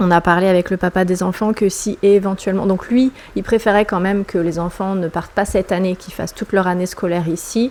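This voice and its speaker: A woman speaks at a fairly quick pace with hardly any pauses, her medium pitch set in fairly even intonation. Noticeable background noise sits behind her. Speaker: vlogger. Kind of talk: personal vlog monologue. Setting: at home. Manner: hesitant, many fillers.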